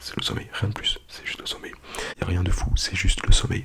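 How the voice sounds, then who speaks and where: A whispering voice with a gentle tone moves at a fairly quick pace. Noticeable background noise sits underneath. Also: man. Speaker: ASMR YouTuber. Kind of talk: ASMR soft-spoken hypnosis, whispered countdown to sleep. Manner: hushed, whispering, gentle.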